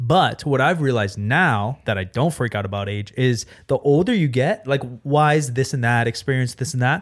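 With an ordinary speaking voice, a man talks at a moderate pace and medium pitch, his intonation lively. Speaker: streamer. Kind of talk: casual chat.

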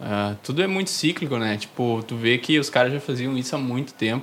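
With a southern Brazilian accent, a man talks at a moderate pace. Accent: gaúcho Brazilian Portuguese. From southern Brazil, Novo Hamburgo (Rio Grande do Sul). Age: 20s. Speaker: newsletter zine creator. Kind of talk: casual interview chat.

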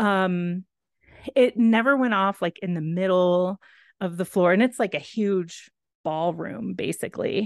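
A woman's unremarkable speaking voice in an American accent, medium in pitch with ordinary pitch variation, at a fairly slow pace, with a dry, close sound with no echo. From Texas. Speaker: podcast co-host. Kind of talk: casual chat.

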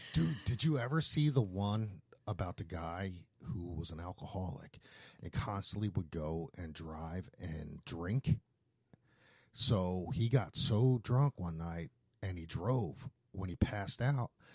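With a Philadelphia accent, a man with a very deep, low voice talks at a fairly slow pace, somewhat breathy and with lively intonation, recorded dry and close with no echo. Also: big swings in loudness, very clean recording, silent background. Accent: Philadelphia American. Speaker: podcast host, tattoo shop owner. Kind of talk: casual chat.

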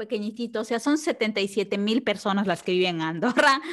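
A woman is talking. She has lively intonation. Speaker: tax consultant. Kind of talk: casual chat. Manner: calm.

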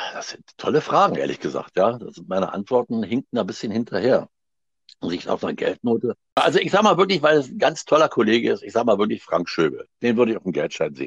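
A man at a very fast pace, with big swings in loudness, in a dry, close sound without echo. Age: 60s. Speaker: actor and theatre director. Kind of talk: interview. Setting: phone call. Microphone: wife's mobile phone.

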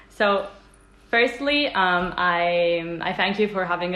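A woman's fairly low voice with audible room echo. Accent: Italian. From Italy. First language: Italian. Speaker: interviewer. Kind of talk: interview. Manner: halting.

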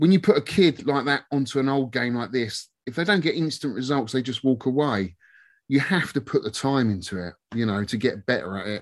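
Against a quiet background, a man with a London accent talks fairly quickly at a medium pitch, his intonation lively. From southwest London, England. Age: 50s. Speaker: YouTuber and arcade collector. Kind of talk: casual chat.

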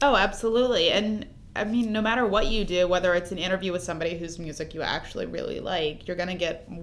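Talking at a very fast pace with a Californian accent, a woman with a medium-pitched voice and ordinary pitch variation is heard against audible room echo. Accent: Californian American. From Los Angeles. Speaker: entertainment editor. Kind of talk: casual chat.

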